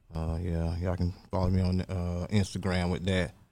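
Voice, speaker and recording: This man's voice is very deep and low, with a dark, mellow tone. He speaks with an American accent. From Orlando, Florida (born North Carolina). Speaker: rapper. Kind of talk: interview.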